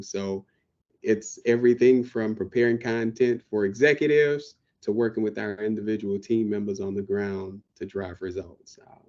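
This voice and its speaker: This man speaks with an American accent in a dark, mellow tone, his pitch fairly low. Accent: Southern drawl, comes out when excited. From US South, New Orleans. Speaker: IT professional, podcast co-host. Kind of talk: casual chat. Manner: talkative.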